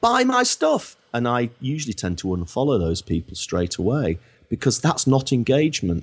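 On a very clean recording with a silent background, a man with a Lancashire accent speaks at a medium pitch and a moderate pace, his pitch swinging very widely. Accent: northern English (Lancashire). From northern England, Blackpool. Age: 50s. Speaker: marketing consultant. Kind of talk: podcast interview.

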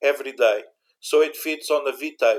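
A man speaks with a Portuguese accent. His pace is fairly slow. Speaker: university IT infrastructure manager. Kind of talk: interview about backup software. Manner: halting, searching for English words.

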